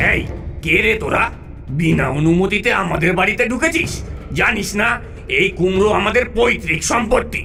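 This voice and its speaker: Performing a cartoonish character voice, a man speaks at a high pitch and a moderate pace while clear music plays in the background. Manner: whiny, greedy.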